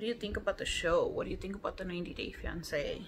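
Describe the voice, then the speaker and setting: With light background noise behind it, the voice moves at a moderate pace in an American accent. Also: woman. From Texas. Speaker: beauty vlogger. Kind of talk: casual chat. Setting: at home. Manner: animated. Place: home room. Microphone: phone near.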